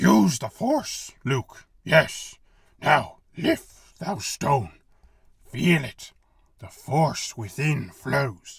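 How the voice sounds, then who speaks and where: This put-on character voice is raspy. It moves at a very slow pace. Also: man, fairly high pitch for a man. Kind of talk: Shakespearean pastiche. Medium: read story. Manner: inverted word order, archaic phrasing.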